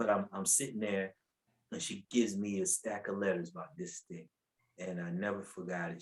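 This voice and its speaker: An animated man with an American accent at a moderate pace. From US South, North Carolina (Asheville). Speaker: preacher. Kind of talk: testimony. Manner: animated storytelling.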